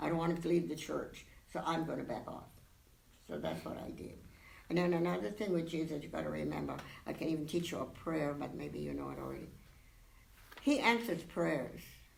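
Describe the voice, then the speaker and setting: A woman talks at a fairly quick pace, broken by long, frequent pauses, with audible room echo. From Hawaii. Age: 90s. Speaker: church parishioner. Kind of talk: interview. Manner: animated.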